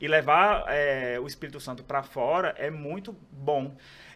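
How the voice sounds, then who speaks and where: A man talks as noticeable background noise carries on behind him. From Brazil, Ceará (Northeast). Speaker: pharmacist and aesthetics professor. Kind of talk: podcast interview.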